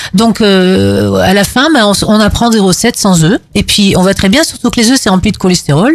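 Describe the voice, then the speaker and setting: At a moderate pace and with hardly any pauses, a woman with a normal speaking voice talks at medium pitch, keeping very even loudness and lively intonation. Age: 50s. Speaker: animal rights activist. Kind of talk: panel debate.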